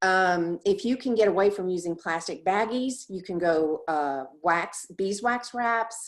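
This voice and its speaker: The speech has ordinary pitch variation. The recording is very clean, with a silent background. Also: woman. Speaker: presenter. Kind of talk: presentation.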